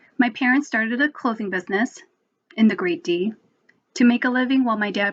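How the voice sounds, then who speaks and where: A somewhat breathy voice with an American accent, lively intonation and a fairly quick pace. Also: woman. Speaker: spoken word poet. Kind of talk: spoken word poetry performance.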